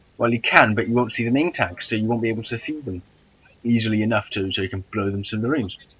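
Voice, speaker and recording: A man's medium-pitched voice in a Welsh accent, very fast pace, ordinary pitch variation. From Wales. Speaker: gaming YouTuber. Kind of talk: gameplay commentary. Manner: animated.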